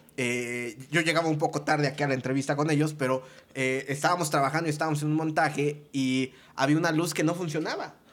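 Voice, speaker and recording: Very fast and at a very even loudness, a man talks in a fairly high voice with fairly even intonation. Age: 30s. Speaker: entertainment producer. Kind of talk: casual chat.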